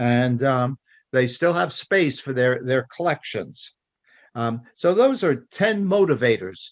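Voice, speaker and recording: Lively intonation carries a man's very slow speech. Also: medium pitch for a man. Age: 80s+. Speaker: club member speaking in a discussion. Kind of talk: open discussion presentation. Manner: halting, many fillers.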